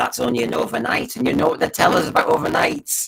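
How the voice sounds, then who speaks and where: At a fairly quick pace, a man talks with an English accent. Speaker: podcast host. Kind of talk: solo commentary on TV ratings. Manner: fast; animated.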